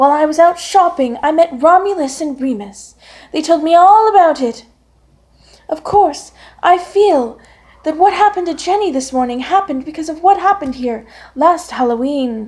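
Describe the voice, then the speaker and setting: Using a put-on character voice, a woman speaks at a moderate pace with an extremely high pitch. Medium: read story.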